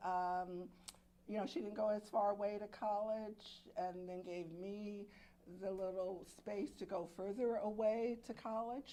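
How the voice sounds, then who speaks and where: Very slowly, a woman with an American accent speaks at a medium pitch with ordinary pitch variation, and audible room echo surrounds her voice. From Alexandria, Virginia. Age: 70s. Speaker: murder victim's sister. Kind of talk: press conference remarks.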